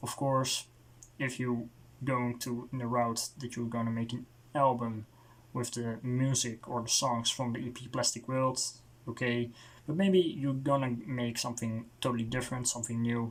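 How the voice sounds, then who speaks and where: A man with a Dutch accent speaks at a moderate pace and medium pitch. His intonation is monotone and flat. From Netherlands. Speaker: music reviewer. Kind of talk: casual video review monologue. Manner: halting, with many fillers and restarts.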